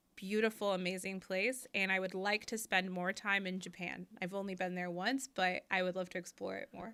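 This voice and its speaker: In a strong American accent, the voice runs on with hardly any pauses, its tone bright and sharp and its intonation monotone and flat. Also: woman, medium pitch for a woman, moderate pace. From US Midwest, outside Chicago. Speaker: crypto regulation expert. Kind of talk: interview.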